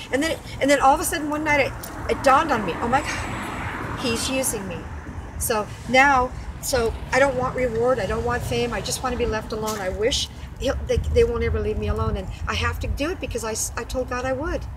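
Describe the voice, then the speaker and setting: A woman talks at a fairly quick pace, with noticeable background noise and audible room echo. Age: 60s. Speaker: whistleblower interviewee. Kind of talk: testimony.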